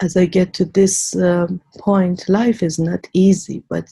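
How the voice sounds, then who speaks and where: In an Iranian accent, a woman speaks very slowly at a medium pitch, her somewhat breathy voice dark and mellow, her intonation monotone and flat, in a dry, close sound with no echo. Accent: Iranian (Persian) accent in English. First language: Persian. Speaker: immigrant widow, interview guest. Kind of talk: interview, life story.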